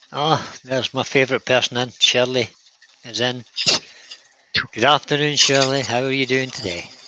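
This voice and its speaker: A man with a Scottish accent talks at medium pitch and a moderate pace. His intonation is fairly even, broken by long, frequent pauses. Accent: Scottish, kept after decades away. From Scotland. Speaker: co-host of woodturning livestream. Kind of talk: casual live-stream chat. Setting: workshop.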